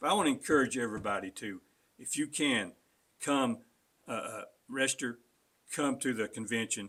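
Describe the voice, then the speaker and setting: A man with an Appalachian accent, a bright, sharp tone, medium pitch and ordinary pitch variation, long, frequent pauses, in a very clean recording with a silent background. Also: moderate pace. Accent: Southern Appalachian US. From western North Carolina mountains. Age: 60s. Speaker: political candidate. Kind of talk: interview. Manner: halting.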